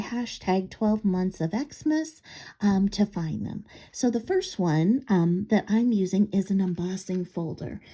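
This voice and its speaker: A somewhat breathy woman's voice with lively intonation at a fairly slow pace, on a very clean recording with a silent background. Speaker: craft video maker. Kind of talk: crafting tutorial. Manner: halting, frequent um fillers.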